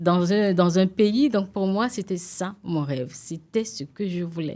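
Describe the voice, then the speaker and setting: On a very clean recording with a silent background, a woman speaks at a moderate pace with a dark, mellow tone at a medium pitch. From Benin, Ouidah. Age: young. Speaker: TV presenter and entrepreneur. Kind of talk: interview. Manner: hesitant, with many fillers.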